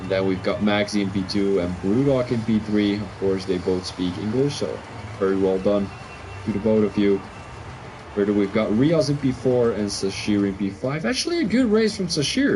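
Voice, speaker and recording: Moderate-paced speech from a man with a fairly low voice, noticeable background noise behind it. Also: ordinary pitch variation. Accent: Belgian. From Belgium (Flemish). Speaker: sim racing league commentator. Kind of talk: live commentary. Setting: live stream.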